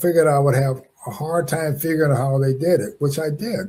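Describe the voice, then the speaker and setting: With an American accent, a man speaks in a somewhat breathy, dark, mellow tone at a fairly high pitch with ordinary pitch variation. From Los Angeles, California. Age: 80s+. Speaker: wrongfully convicted former prisoner, businessman. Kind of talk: interview. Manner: halting, many fillers and restarts.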